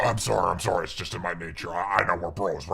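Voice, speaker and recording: Putting on a character voice, a man speaks very deep and low with a raspy edge at a moderate pace. Light background noise sits behind him. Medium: game stream. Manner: casual, bro-like, creepy.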